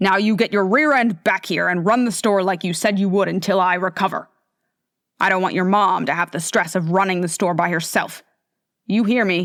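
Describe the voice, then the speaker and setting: A put-on character voice, gruff and growling with a stern tone, comes at a moderate pace on a very clean recording with a silent background. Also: woman, medium pitch for a woman. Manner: gruff, stern.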